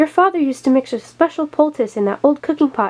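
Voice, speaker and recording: A woman uses a put-on character voice with a high pitch. She talks at a very fast pace. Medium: read story.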